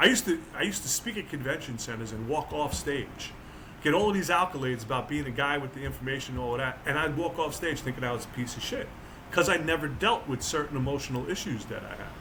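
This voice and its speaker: This man talks at a very fast pace with an American accent and lively intonation. His pitch is fairly high, and the room echo is audible. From New Jersey. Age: 60s. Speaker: author and motivational speaker. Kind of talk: casual chat. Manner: animated.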